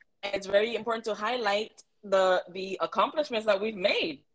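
A woman speaks with a Miami accent. Her pitch sits fairly high. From Miami, Florida (Afro-Cuban family). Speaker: community organization founder. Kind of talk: interview conversation.

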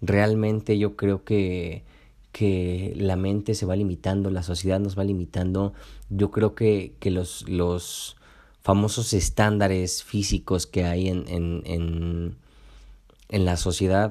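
Over a very clean recording with a silent background, a man speaks very slowly in a very deep, low pitch, with a dark, mellow tone and fairly even intonation. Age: 20s. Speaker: podcast host and nutritionist. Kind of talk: motivational solo podcast talk. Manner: halting with frequent repetitions and fillers.

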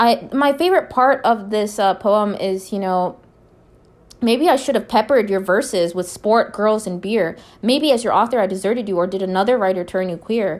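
On a very clean recording with a silent background, a woman speaks with an American accent at medium pitch. Her pace is moderate and her pitch varies in an ordinary way. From Minnesota, US. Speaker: poetry podcast host. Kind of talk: poetry reading and commentary. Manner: hesitant, many fillers.

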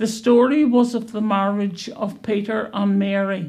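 Reading in an unforced voice, the speaker keeps the intonation fairly even.

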